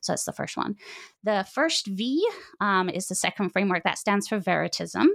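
Vocal fry marks this woman's medium-pitched voice, which has ordinary pitch variation at a moderate pace. The sound is dry and close with no echo, a very clean recording with a silent background. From Britain. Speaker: author, philosophy professor. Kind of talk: interview.

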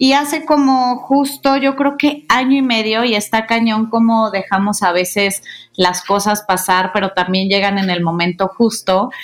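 A woman speaks in a plain, everyday voice at a fairly high pitch and a fairly slow pace, with ordinary pitch variation, very even loudness and hardly any pauses. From Mexico, Guadalajara. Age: 30s. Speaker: podcast co-host, communications consultant. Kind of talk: casual chat.

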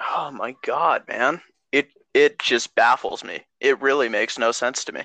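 Spoken with an American accent at a fairly slow pace, the voice has a dry, close sound with no echo. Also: man. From California. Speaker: podcast host. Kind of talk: casual chat.

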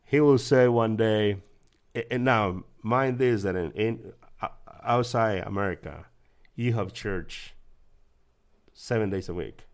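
A man with a Guatemalan accent talks at a very slow pace and a medium pitch, with ordinary pitch variation and long, frequent pauses. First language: Spanish. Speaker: church member sharing testimony. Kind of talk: testimony.

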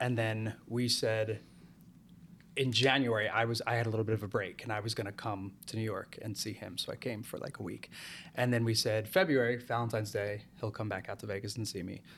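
Here is an ordinary speaking voice: a man with an American accent at a medium pitch. He talks at a fairly quick pace on a very clean recording with a silent background. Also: fairly even intonation. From New Jersey. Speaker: musical theatre actor and singer-songwriter. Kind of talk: casual chat.

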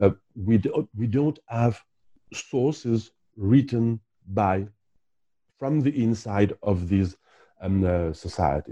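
In a French accent, the speaker talks at a very slow pace with long, frequent pauses. The tone is dark and mellow, and the background is quiet. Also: man, fairly low pitch for a man, ordinary pitch variation. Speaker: historian and archaeologist. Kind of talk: interview. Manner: halting, many fillers and repetitions.

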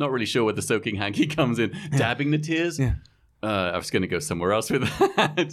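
A man with an English accent at a very fast pace. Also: medium pitch for a man, lively intonation. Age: 50s. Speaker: podcast host. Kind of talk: casual chat.

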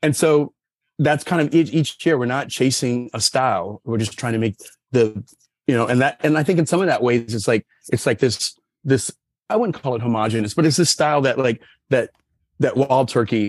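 Using an unremarkable speaking voice, a man at a medium pitch talks at a fairly quick pace. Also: dry, close sound with no echo. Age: 50s. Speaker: sommelier. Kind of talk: casual chat.

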